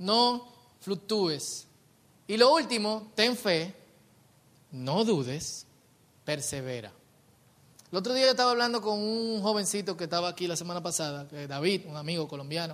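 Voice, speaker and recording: A high-pitched male voice at a moderate pace, with lively intonation and long, frequent pauses. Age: 30s. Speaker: pastor. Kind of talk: sermon.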